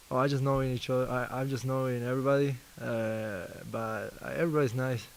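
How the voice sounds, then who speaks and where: A man's medium-pitched voice in an Argentine accent, at a fairly quick pace. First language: Spanish. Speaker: basketball player. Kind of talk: press interview. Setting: media availability. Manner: halting, repeats words.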